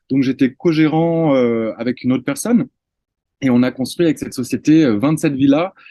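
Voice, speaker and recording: A man speaks at a moderate pace with a fairly high pitch and a dark, mellow tone. The sound is dry and close, with no echo. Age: 30s. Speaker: real estate investor and trainer. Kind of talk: interview.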